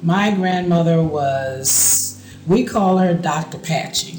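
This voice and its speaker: With an American accent, a man speaks at a high pitch with ordinary pitch variation, amid noticeable background noise and audible room echo. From South Carolina Lowcountry, Gullah community near Charleston. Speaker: interviewee in documentary. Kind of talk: oral history interview.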